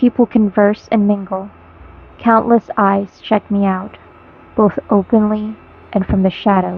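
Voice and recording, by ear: The speaker is reading aloud in a natural voice. The intonation is fairly even.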